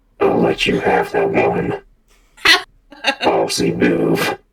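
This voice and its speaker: A put-on character voice, raspy and very deep, low in pitch, crawls along at a very slow pace. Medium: actual play. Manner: gruff, terse.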